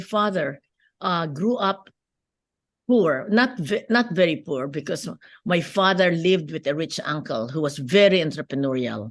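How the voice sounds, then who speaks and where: Over a quiet background, a woman speaks with a Filipino accent. Her pace is moderate and her intonation lively. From Philippines. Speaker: businesswoman and lawyer. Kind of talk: interview.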